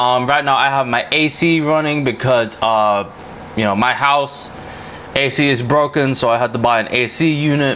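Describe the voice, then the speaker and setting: A man at a medium pitch and moderate pace, very even in loudness and fairly even in intonation, over noticeable background noise. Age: 20s. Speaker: gaming YouTuber. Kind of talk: casual gameplay commentary. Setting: home, playing racing sim. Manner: hesitant, many fillers.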